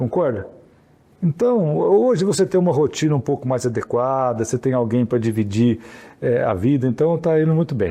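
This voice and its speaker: A man's dark, mellow, medium-pitched voice carries lively intonation at very even loudness. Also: moderate pace. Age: 60s. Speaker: mayor and physician. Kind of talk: interview. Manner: casual, halting with repetitions.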